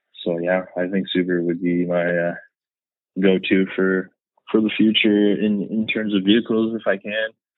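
Speaking at a moderate pace, a man with a slight Canadian accent has a fairly low pitch and fairly even intonation. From Canada, eastern Ontario (Renfrew, west of Ottawa). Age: 30s. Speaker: car enthusiast, social media account owner. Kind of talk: casual interview. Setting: phone call.

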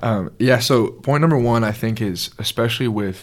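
Speaking with an American accent, a man uses ordinary pitch variation. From US South, Georgia (Alpharetta). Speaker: college athlete, faith speaker. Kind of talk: testimony in interview.

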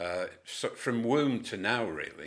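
On a very clean recording with a silent background, a man speaks with a northern English accent. His intonation is lively. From Cumbria, northern England. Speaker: community group founder. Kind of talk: interview. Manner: hesitant, many fillers.

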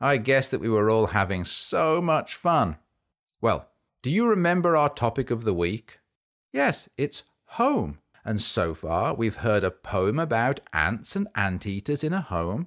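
Very wide pitch swings from a man at medium pitch and a fairly slow pace, with very even loudness on a very clean recording with a silent background. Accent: English. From England. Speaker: children's podcast host. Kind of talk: children's poetry show. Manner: animated.

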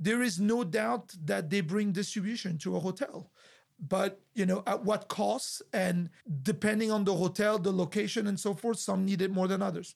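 A high-pitched man with a French accent speaks at a moderate pace and very even loudness in a very clean recording with a silent background. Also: ordinary pitch variation. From France. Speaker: hotel group executive. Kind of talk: interview. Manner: halting.

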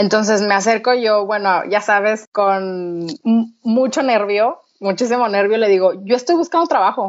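A woman's ordinary speaking voice, fairly high in pitch, at a fairly slow pace. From Mexico, Torreón. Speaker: entrepreneur. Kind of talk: interview.

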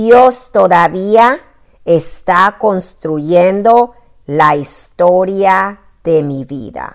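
The delivery is very slow. The intonation rises and falls in a lively way. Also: woman, medium pitch for a woman. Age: 50s. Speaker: blogger and life coach. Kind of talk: reading aloud.

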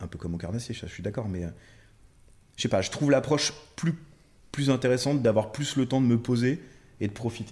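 The speech moves at a fairly quick pace, somewhat breathy, with ordinary pitch variation. Loudness swings widely, broken by long, frequent pauses. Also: man, medium pitch for a man. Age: 30s. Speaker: carp angler. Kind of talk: casual chat.

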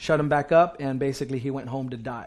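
Speaking at a moderate pace, a man uses an animated tone. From US, Puerto Rican family. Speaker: pastor. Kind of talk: sermon.

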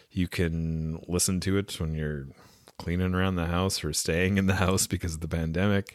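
In a very clean recording with a silent background, a man with a West Coast Canadian accent talks in a very deep, low pitch with ordinary pitch variation. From West Coast Canada. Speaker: podcast host and audiobook narrator. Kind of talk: casual podcast sign-off. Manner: informal, upbeat, chatty.

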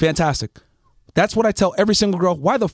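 Speaking very fast with an American accent, a man has a high pitch and an animated tone. The sound is dry and close, with no echo. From US Northeast, Connecticut. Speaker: podcast host. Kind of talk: casual chat, opinionated rant. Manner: animated, profane.

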